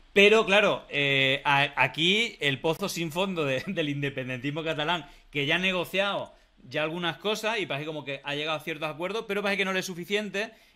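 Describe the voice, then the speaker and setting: A man's fairly quick delivery, high in pitch, with ordinary pitch variation. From Spain. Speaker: political talk show host. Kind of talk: casual political discussion. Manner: halting, many fillers. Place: home room.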